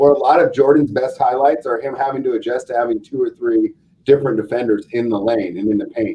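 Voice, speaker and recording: This man talks at a very fast pace, with a medium pitch and ordinary pitch variation. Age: 40s. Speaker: sports betting podcast host. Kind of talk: casual chat.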